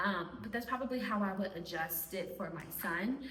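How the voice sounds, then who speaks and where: A woman speaks at a moderate pace with a fairly high pitch and lively intonation. The room echo is audible and the background noise is noticeable. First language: Spanish. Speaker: homeschooling mom and video creator. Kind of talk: casual talk to camera.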